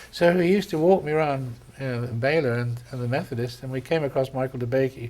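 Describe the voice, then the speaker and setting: A man with an English accent at a very fast pace, medium pitch and ordinary pitch variation. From England. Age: 70s. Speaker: vascular surgeon. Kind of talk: interview. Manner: halting.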